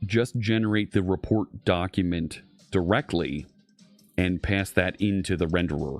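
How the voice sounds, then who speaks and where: Music plays behind a man speaking in a Philadelphia accent at a fairly slow pace. His very deep, low pitch shows ordinary variation. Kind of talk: technical, work talk.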